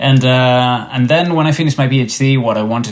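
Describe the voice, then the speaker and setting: Speaking with a Spanish accent, a man moves at a fairly quick pace with ordinary pitch variation. Noticeable background noise is present. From Spain. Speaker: tech startup founder and researcher. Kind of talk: podcast interview. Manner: hesitant, many fillers and repetitions.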